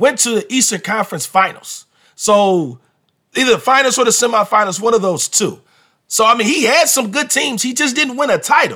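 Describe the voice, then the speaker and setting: Raised and projected, a man's bright, sharp voice sits at an extremely high pitch, with ordinary pitch variation and a fairly quick pace. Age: 40s. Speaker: basketball podcast host and coach. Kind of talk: casual sports talk monologue.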